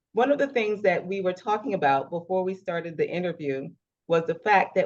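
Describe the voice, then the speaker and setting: Delivered at a fairly quick pace, an unremarkable speaking voice carries lively intonation. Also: woman. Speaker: interview host. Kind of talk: interview introduction.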